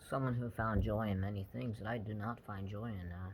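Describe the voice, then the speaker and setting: A man at a fairly low pitch and moderate pace, fairly even intonation, audible room echo. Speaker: brain injury survivor vlogger. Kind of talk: personal testimony monologue. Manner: halting, with frequent fillers.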